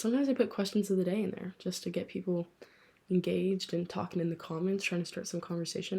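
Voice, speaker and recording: A woman talks very fast at medium pitch in a dark, mellow tone. Her voice is somewhat breathy and her intonation fairly even. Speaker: book podcaster. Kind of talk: casual chat. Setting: late-night home recording. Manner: whispering close to mic. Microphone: held very close to mouth, mouth noises audible.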